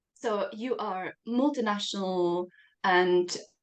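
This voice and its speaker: A woman with a non-native accent at a very slow pace. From Czech Republic. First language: Czech. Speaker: podcast host. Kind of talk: interview.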